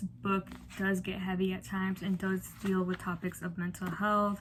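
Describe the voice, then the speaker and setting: Somewhat breathy, a woman speaks at a fairly slow pace in a medium pitch. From Chicago, Mexican-American family. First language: Spanish. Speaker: book vlogger. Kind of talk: casual book review vlog. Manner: casual, filler-heavy.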